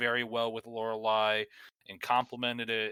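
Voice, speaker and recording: A man with a Northeastern US accent speaks in a bright, sharp tone with monotone, flat intonation. The sound is dry and close with no echo, on a very clean recording with a silent background. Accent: Northeastern US accent, drops word endings. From US Northeast. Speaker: gaming podcast co-host. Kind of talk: casual chat.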